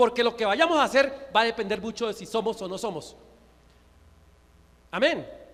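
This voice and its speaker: The man's pitch is extremely high, with ordinary variation. He talks at a fairly quick pace. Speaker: pastor. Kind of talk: sermon. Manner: fast; stutters at times.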